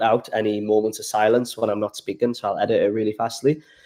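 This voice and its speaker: Over a quiet background, a man talks at a fairly quick pace in a Geordie accent. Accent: Geordie, toned down. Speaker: travel vlogger. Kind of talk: casual livestream chat. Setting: home livestream by the fire.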